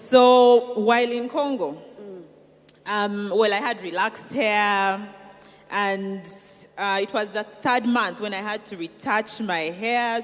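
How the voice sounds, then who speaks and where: Music plays in the background as a woman speaks. Her pace is fairly slow and her intonation fairly even. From Uganda (Kigezi roots). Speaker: entrepreneur, cosmetics founder. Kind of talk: interview testimony.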